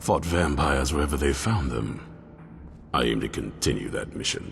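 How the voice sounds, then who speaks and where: Someone in a put-on character voice talks at a moderate pace over clear background noise. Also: man. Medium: video game. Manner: gruff, blunt, commanding.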